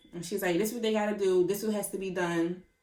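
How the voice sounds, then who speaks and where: A woman's voice at medium pitch. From Philadelphia. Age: 20s. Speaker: vlogger, cosmetology educator. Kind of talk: casual vlog storytelling. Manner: animated.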